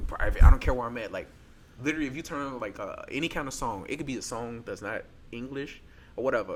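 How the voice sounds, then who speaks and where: A man with an American accent at a very fast pace, with ordinary pitch variation. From Chicago, US Midwest. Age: 20s. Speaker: heart transplant patient and author. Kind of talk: podcast interview. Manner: fast, clipped speech; casual, with filler phrases.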